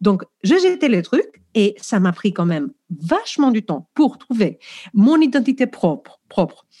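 A woman with a fairly high, somewhat breathy voice and a dark, mellow tone talks at a fairly slow pace, her pitch swinging very widely. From Greece. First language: Greek (speaking French). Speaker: professional coach, former teacher. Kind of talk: podcast interview.

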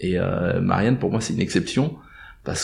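A man's fairly low voice carries a dark, mellow tone with vocal fry. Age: 50s. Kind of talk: interview. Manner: halting.

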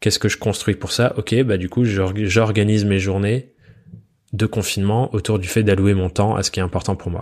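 With an ordinary speaking voice, a man talks at a moderate pace and a fairly low pitch, his intonation fairly even. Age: 20s. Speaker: podcast host, freelancer. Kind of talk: solo podcast monologue.

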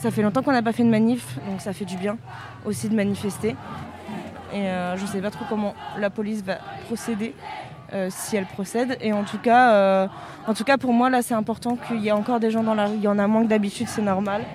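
Crowd noise fills the background as a woman speaks with long, frequent pauses. Her voice is fairly high in pitch, with ordinary pitch variation. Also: fairly quick pace. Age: 30s. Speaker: prevention worker. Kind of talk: interview. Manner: hesitant, many fillers.

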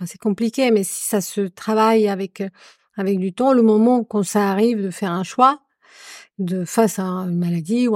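On a very clean recording with a silent background and a dry, close sound with no echo, a woman with a Spanish accent speaks at a medium pitch and a moderate pace with fairly even intonation. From Colombia. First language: Spanish (speaking French). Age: 40s. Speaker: adoptive mother. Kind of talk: casual chat.

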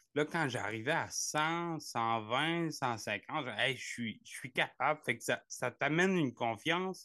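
A man with a Gaspésie accent talks at a very slow pace with hardly any pauses, his fairly high pitch showing ordinary variation. His tone is bright and sharp against a quiet background. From Quebec, Gaspésie. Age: 30s. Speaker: ultra-distance cyclist. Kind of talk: interview. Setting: video call. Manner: halting.

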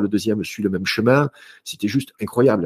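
A man with an unremarkable speaking voice talks at a fairly quick pace and medium pitch, showing ordinary pitch variation in a dry, close recording with no echo. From southern France, Marseille. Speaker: author and speaker on health. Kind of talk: interview conversation.

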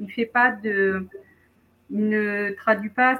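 A woman speaks with a somewhat breathy, fairly high voice and ordinary pitch variation. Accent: slight southern French. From southern France, near Montpellier. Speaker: wellness practitioner and writer. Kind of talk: casual interview.

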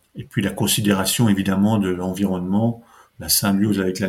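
Fairly even intonation and a fairly quick pace in a man's fairly low-pitched voice. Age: 50s. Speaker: local economic development officer. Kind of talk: podcast interview. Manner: halting, many repetitions.

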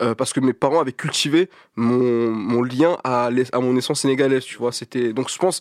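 The background is silent and the recording very clean. A man's voice sits at a medium pitch. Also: dry, close sound with no echo. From Paris, 19th arrondissement. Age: 20s. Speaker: artist and art collective founder. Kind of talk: casual interview.

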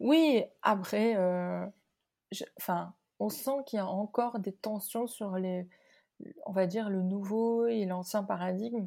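In a very clean recording with a silent background, a dark, mellow voice moves at a very slow pace with ordinary pitch variation and long, frequent pauses. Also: woman, medium pitch for a woman. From Morocco. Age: 30s. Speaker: company founder. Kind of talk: interview. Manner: halting, many repetitions and fillers.

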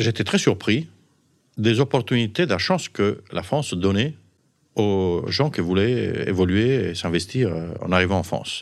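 A man with an Italian accent, fairly low pitch and lively intonation, long frequent pauses, in a very clean recording with a silent background. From Sardinia, Italy. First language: Italian (speaking French). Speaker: physician and pharmaceutical executive. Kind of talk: interview storytelling. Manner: halting.

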